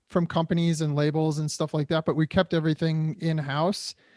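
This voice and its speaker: Here is a man with a Midwestern American accent and a fairly high pitch. The sound is dry and close with no echo, on a very clean recording with a silent background. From Detroit area, Michigan. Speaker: actor and drummer. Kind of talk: interview conversation.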